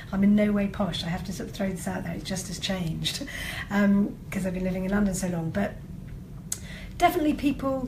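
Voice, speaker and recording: Against noticeable background noise and audible room echo, a woman talks at a fairly quick pace in a medium pitch with ordinary pitch variation. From northern England. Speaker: comedy writer and actor. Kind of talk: interview. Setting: live-streamed video interview.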